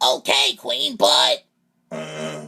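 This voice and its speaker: A man puts on a cartoonish character voice pitched very deep and low. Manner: anxious, deferential.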